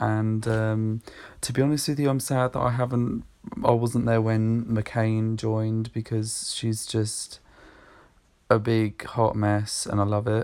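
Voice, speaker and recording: This man speaks at a fairly slow pace. His intonation is monotone and flat. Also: medium pitch for a man. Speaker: caller. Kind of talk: voicemail message. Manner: soft-spoken, relaxing.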